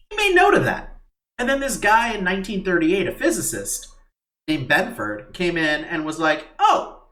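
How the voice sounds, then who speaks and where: His pace is moderate. The man's voice carries audible room echo. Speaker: podcast co-host. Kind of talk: casual chat. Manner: halting, many fillers and restarts.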